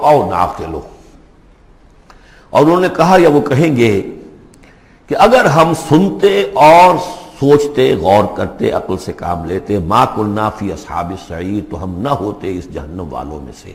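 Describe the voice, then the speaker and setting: A man at a medium pitch speaks with very wide pitch swings and big swings in loudness. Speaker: Islamic scholar. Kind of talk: Islamic lecture with Quran commentary.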